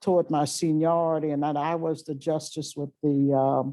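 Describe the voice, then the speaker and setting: Speaking with a New Orleans accent, a woman talks at a fairly slow pace in a very deep, low pitch. The recording is very clean, with a silent background. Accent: Southern US (New Orleans). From US South, Louisiana. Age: 70s. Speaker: retired chief justice. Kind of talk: public talk to law students. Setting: lecture hall with audience. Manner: halting, with frequent fillers.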